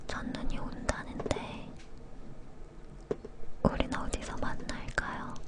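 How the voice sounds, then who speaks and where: A woman whispers at a very slow pace with long, frequent pauses, noticeable background noise behind her. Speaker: ASMR creator. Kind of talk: whispered book reading (ASMR). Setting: studio, recorded from a live broadcast. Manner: whispered, soft.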